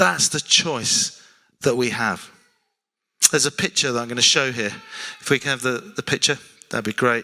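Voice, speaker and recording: A man with a South London accent, medium in pitch and bright and sharp in tone, at a moderate pace with ordinary pitch variation and long, frequent pauses, in a dry, close sound with no echo. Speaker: preacher. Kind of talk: sermon.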